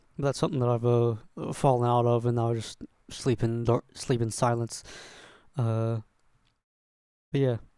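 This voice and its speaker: On a very clean recording with a silent background, a man speaks at medium pitch and a moderate pace, with long, frequent pauses. His intonation is monotone and flat, and his loudness stays very even. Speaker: YouTuber, Let's Play creator. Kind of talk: Q&A video, casual monologue. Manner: halting, many restarts and fillers.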